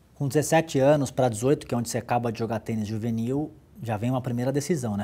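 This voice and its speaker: A man with a dark, mellow tone talks at a fairly quick pace, his pitch moving in an ordinary way. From Santos, São Paulo, Brazil; São Paulo, Brazil. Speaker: business executive, former athlete; interview guest. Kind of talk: interview. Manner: halting, many repetitions. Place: office. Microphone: lapel.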